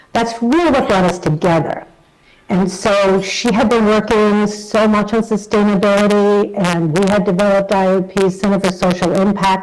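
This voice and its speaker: A woman of medium pitch with an American accent speaks at a moderate pace with very even loudness and fairly even intonation against noticeable background noise. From New York. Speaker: association chief executive. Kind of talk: recorded video message.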